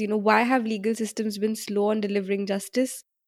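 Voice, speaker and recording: The speaker is a woman with a fairly high pitch. Her pace is moderate. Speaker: podcast host. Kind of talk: interview.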